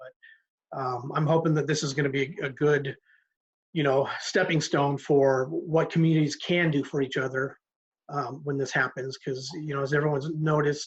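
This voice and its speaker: A man with a fairly high pitch and a somewhat breathy voice talks at a moderate pace in a flat monotone. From Alaska. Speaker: panelist in online discussion. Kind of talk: video panel discussion. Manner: halting, many fillers.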